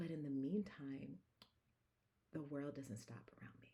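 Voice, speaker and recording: A quiet, calm woman's voice, very deep and low, dark and mellow in tone, with vocal fry, ordinary pitch variation and a moderate pace. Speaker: wellness coach and speaker. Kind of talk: casual vlog. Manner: quiet and calm; halting, frequent fillers.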